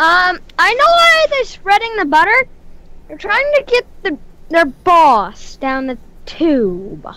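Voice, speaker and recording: In a put-on character voice, a woman speaks at a fairly slow pace, her extremely high pitch swinging very widely. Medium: actual play.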